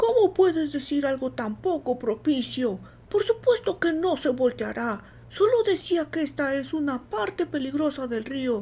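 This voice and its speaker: A woman's high-pitched, put-on character voice with very wide pitch swings, at a moderate pace over clear background noise. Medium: read story. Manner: blunt, folksy.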